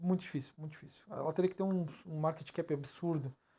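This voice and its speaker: A man talks at a fairly quick pace with fairly even intonation and a fairly high pitch, recorded very cleanly over a silent background. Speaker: crypto analysis youtuber. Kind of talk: chart analysis tutorial. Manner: fast; halting, stumbles over words.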